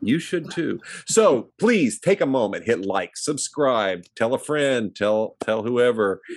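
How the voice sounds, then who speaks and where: On a very clean recording with a silent background, a man with a Midwestern American accent speaks at a very slow pace with hardly any pauses. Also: medium pitch for a man, lively intonation. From US Midwest, small town. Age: 50s. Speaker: movie review podcast co-host. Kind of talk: casual chat.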